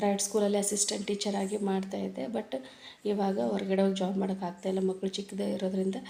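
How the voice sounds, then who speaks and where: Through noticeable background noise, a woman with a North Karnataka accent speaks with fairly even intonation. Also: medium pitch for a woman. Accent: North Karnataka Kannada. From Ballari district, Karnataka (Siruguppa area village). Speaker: vlogger, homemaker. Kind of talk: casual vlog narration. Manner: halting.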